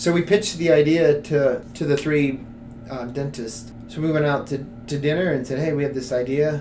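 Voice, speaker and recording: Heard with audible room echo, a man with an American accent and fairly high pitch shows ordinary pitch variation. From US South. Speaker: nonprofit co-founder. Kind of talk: interview.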